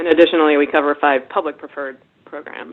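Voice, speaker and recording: With an American accent, a woman talks very fast in a very deep, low pitch, her intonation fairly even. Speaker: webinar presenter, investment research director. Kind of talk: webinar presentation. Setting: webinar.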